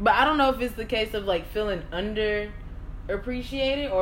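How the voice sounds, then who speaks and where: A woman at a fairly quick pace, lively intonation, and noticeable background noise. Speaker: podcast co-host. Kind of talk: casual chat. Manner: calm, reasoned.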